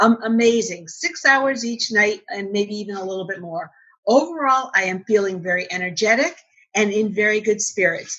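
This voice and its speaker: This woman has a plain, everyday voice with an American accent and a fairly high pitch. She talks at a moderate pace with lively intonation and big swings in loudness. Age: 50s. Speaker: entrepreneur. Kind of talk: interview.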